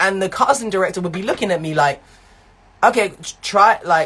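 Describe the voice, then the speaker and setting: A man's high-pitched voice in a London accent, with ordinary pitch variation. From East London. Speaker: actor and live show host. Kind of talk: personal testimony on live stream. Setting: Instagram live. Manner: repetitive, halting.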